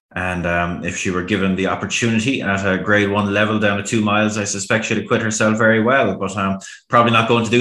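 Amid audible room echo, a man with a bright, sharp tone and fairly low pitch speaks at a very fast pace, his intonation fairly even and hardly any pauses between words. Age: 30s. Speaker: horse racing pundit. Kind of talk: casual chat.

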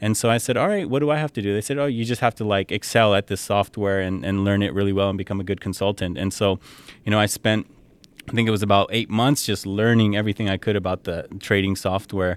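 A man with a Californian accent at a very fast pace, fairly low in pitch, with fairly even intonation and a dry, close sound with no echo. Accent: Californian American English. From San Jose, Bay Area, California. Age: 30s. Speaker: model and consultant. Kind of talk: casual interview. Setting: at his home, outdoors with a view. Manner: frequent fillers and laughs.

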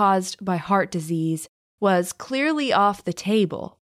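Here a woman with an unremarkable speaking voice talks at a fairly slow pace, with lively intonation. The recording is very clean, with a silent background. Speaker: true crime podcast host. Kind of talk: true-crime narration. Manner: measured, storytelling tone.

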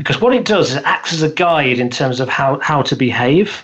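Speech comes at a moderate pace. It is delivered with a British accent. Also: man. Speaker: business coach and speaker. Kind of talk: interview. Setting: remote call from the UK.

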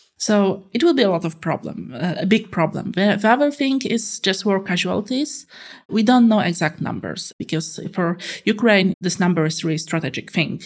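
On a very clean recording with a silent background, a woman with a Polish accent speaks at a fairly quick pace in a medium pitch, somewhat breathy and with lively intonation. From Poland. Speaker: political analyst. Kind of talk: interview. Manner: halting, many fillers.

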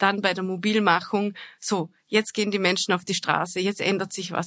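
A woman with a plain, everyday voice speaks at medium pitch and a moderate pace, in a dry, close sound with no echo. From Austria, Vorarlberg. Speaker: foreign correspondent. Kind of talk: interview. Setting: studio.

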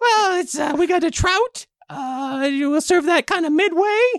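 In a put-on character voice, the speaker delivers the lines fairly slowly. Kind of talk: comic improv. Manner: casual, laid-back, slightly jaded.

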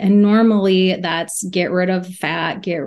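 A woman with an ordinary speaking voice talks at a fairly slow pace, at medium pitch and with fairly even intonation, over a quiet background. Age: 40s. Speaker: registered dietitian. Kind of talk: casual interview chat. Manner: laughs often.

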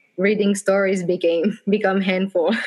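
A woman speaks in a French accent at a moderate pace. Her intonation is monotone and flat. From France, Bordeaux. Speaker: blogger. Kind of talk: casual interview.

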